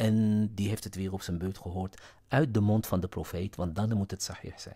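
Somewhat breathy and dark, mellow in tone, the voice keeps fairly even intonation at a moderate pace on a very clean recording with a silent background. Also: man. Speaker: religious commentary YouTuber. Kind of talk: lecture-style monologue. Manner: hesitant with fillers.

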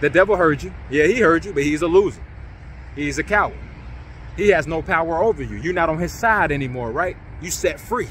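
At a fairly quick pace, a man talks in an animated tone, fairly high in pitch with ordinary variation, the sound dry with no echo and light background noise behind him. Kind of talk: sermon-style exhortation to online congregation. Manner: animated, rallying, high-energy call-and-response; emphatic, repetitive, urging. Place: open country. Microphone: phone near.

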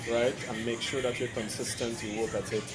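The speech moves at a moderate pace while clear music plays in the background. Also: man. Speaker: personal trainer. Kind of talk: interview answer. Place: street.

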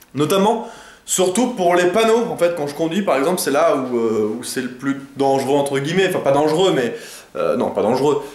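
Noticeable background noise accompanies a man with a fairly high pitch. He talks at a moderate pace with lively intonation. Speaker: video creator. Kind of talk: casual vlog monologue. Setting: at home, talking to camera. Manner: rambling, hesitant, many fillers.

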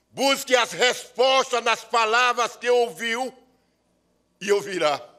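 Over a quiet background, a man speaks very slowly in a solemn tone. His voice sounds bright and sharp. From Sergipe, Brazil. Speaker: actor, writer and poet. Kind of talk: performed poem, declaimed with solemn oratorical gravity at an award ceremony. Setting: ceremony in legislative assembly. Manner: solemn, impassioned, rhythmic and incantatory delivery, like a ritual invocation. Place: hall. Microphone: podium.

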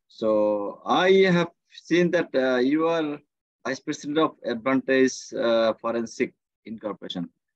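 Against a quiet background, a man with a Bengali accent speaks at a fairly slow pace with lively intonation, the sound dry with no echo. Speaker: course organizer and host; host. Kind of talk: moderating online session. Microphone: video call.

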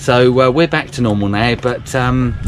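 A man at a fairly quick pace, with ordinary pitch variation and noticeable background noise. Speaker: vlogger on a sailing trip. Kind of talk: casual vlog chat. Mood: wry, self-deprecating. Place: boat. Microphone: phone near.

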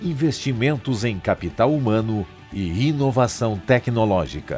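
A man talks at a very slow pace with lively intonation. Music plays in the background. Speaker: voice actor. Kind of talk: corporate narration. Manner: authoritative, credible.

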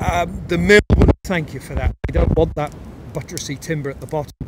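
The recording has a dry sound with no echo but loud background noise. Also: man. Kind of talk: casual explanatory commentary. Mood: relaxed, good-humoured. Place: forest. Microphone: phone near.

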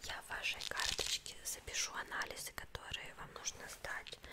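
Loud background noise surrounds a woman who is soft-spoken. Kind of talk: role-play consultation. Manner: soft, close ASMR speaking voice. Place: home room.

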